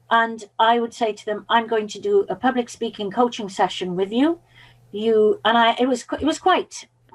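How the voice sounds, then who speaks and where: A woman with a Welsh accent speaks at a moderate pace in a fairly high pitch, her pitch varying in an ordinary way while her loudness swings widely. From Wales (Pembrokeshire). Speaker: public speaking and mindset coach. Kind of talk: podcast interview.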